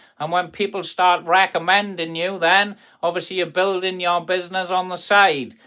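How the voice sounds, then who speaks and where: On a very clean recording with a silent background, a speaker with a Welsh accent talks at a moderate pace in a bright, sharp tone with monotone, flat intonation. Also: man, high pitch for a man. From South Wales. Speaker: carpenter and kitchen fitter. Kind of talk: live stream chat reading viewer comments. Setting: workshop. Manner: casual, chatty.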